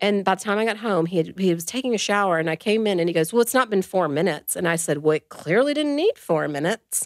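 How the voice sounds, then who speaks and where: A woman's very fast, lively delivery with hardly any pauses, over a quiet background. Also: dry sound with no echo. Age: 40s. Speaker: adoptive mother sharing infertility story; podcast guest. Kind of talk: casual interview, personal story. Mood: earnest personal storytelling. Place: studio. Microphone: studio mic.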